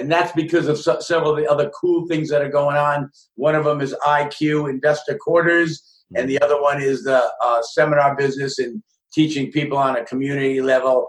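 A man with an unremarkable speaking voice, fairly high pitch, fairly even intonation and a fairly quick pace. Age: 60s. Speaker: real estate investor, author and coach. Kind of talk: interview.

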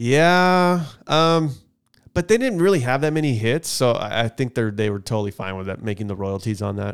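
This man speaks at a medium pitch, his voice swinging very widely up and down. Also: moderate pace. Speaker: podcast co-host. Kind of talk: casual banter podcast chat. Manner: joking, casual.

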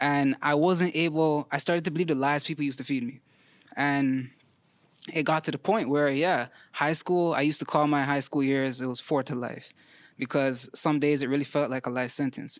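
A man's fairly high-pitched, plain, everyday voice at a moderate pace, fairly even in intonation, on a very clean recording with a silent background. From Toronto, Canada (Scarborough). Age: 30s. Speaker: weight loss story guest. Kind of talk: casual interview.

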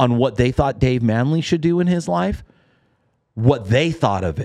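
With an American accent, a man speaks at medium pitch and a moderate pace, his tone animated and his intonation lively. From Los Angeles, California. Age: 40s. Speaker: bobblehead business owner. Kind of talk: casual interview.

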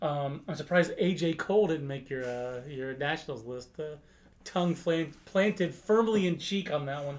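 At a moderate pace, a man talks in a normal speaking voice, fairly high in pitch with ordinary variation. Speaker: baseball podcast host. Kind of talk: casual chat.

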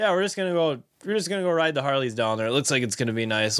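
Very wide pitch swings in an American accent. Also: man. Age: 20s. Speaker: fishing tackle retail worker and angler. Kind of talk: casual chat.

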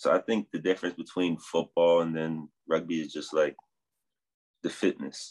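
A man with a New Jersey accent, very deep and low in pitch, at a moderate pace with fairly even intonation. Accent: American, New Jersey. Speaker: rugby sevens player. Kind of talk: interview.

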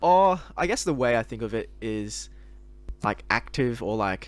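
Recorded very cleanly with a silent background, the voice moves at a moderate pace in an Australian accent. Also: man. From Sydney, Australia. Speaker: podcast co-host. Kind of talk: casual chat.

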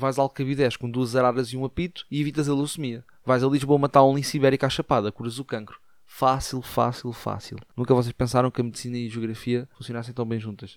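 The speech is very fast, in a European Portuguese accent. Intonation stays monotone and flat, and the sound is dry and close with no echo. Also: man, medium pitch for a man. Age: 50s. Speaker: podcaster. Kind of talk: comedic monologue.

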